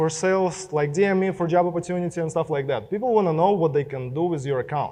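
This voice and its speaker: A man speaks with a Russian accent. His pitch is high. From Belarus. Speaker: social media marketer. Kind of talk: keynote speech. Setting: stage with audience.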